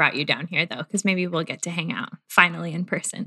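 A woman's bright, sharp voice at a moderate pace, over a quiet background. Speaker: podcast co-host. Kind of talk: casual faith-based conversation.

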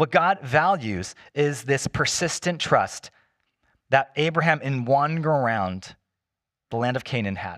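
A man with a normal speaking voice and a fairly high pitch talks at a fairly slow pace with lively intonation. The sound is dry and close, without echo. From US, Chinese immigrant family. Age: 40s. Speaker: pastor. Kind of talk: sermon. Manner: casual, conversational.

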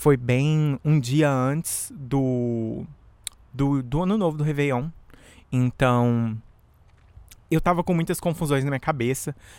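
A man with a fairly high pitch speaks at a very slow pace with ordinary pitch variation. His speech has long, frequent pauses. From Brazil. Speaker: podcast host and musician. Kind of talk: casual solo monologue. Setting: outdoors in backyard. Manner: animated.

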